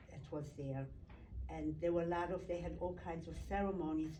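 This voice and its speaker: In a room with audible echo, a woman speaks at a moderate pace. Her fairly low voice has monotone, flat intonation. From Poland. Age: 80s+. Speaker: Holocaust survivor. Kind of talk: testimony. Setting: recorded interview. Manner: halting.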